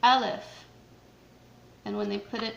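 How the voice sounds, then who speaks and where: A woman's voice carries audible room echo. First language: not Arabic. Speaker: Quran teacher for children. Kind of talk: tutorial. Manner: hesitant with fillers.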